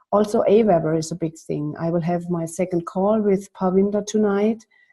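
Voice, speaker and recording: At a moderate pace, a woman speaks at medium pitch with a non-native accent and fairly even intonation. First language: not English. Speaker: coaching client. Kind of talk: casual chat. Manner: halting.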